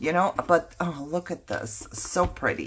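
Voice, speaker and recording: A woman with a fairly low pitch and a bright, sharp tone speaks at a fairly slow pace, her voice showing vocal fry. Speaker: craft vlogger. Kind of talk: casual haul show-and-tell. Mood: excited, curious.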